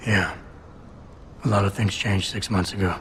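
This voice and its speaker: A man puts on a raspy character voice with a fairly low pitch and a monotone, flat delivery, and background noise is clearly audible. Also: moderate pace. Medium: video game. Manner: deadpan, clipped.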